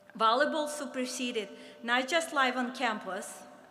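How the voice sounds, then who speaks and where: The woman's voice is high in pitch, with a bright, sharp tone. Audible room echo surrounds it. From Soviet Union. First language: Russian. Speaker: former college athlete. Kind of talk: speech.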